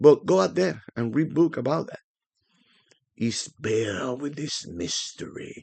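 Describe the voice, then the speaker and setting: A man talks with a strong Spanish accent. His tone is animated and his intonation lively. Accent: thick Spanish. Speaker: forex trading educator. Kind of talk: tutorial. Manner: casual, animated.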